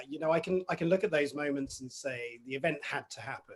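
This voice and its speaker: With an English accent, a man speaks somewhat breathily at a fairly quick pace, using ordinary pitch variation. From southern England, Basingstoke, Hampshire. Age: 40s. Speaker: mental health coach. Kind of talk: interview.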